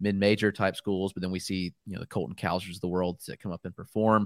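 A man with a fairly low voice and fairly even intonation, an unremarkable speaking voice. The recording is very clean and dry, close with no echo, over a silent background. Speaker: fantasy baseball analyst. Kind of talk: casual chat, auction draft banter.

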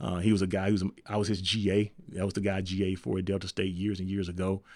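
A man with a Memphis accent, fairly low pitch and fairly even intonation at a fairly quick pace, in a very clean recording with a silent background. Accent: US Southern (Memphis). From Memphis, Tennessee. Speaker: college football coach. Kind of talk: interview.

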